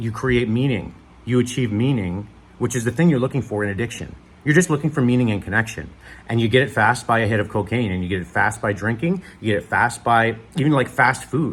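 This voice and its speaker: Somewhat breathy, a man talks at a very fast pace. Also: medium pitch for a man, ordinary pitch variation. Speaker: recovering addict vlogger. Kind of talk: casual monologue vlog. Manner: animated.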